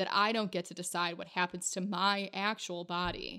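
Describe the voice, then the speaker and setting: A woman speaks at a medium pitch with a monotone, flat delivery, vocal fry, and a bright, sharp tone. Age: 30s. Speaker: podcast host. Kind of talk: casual chat. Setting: video call.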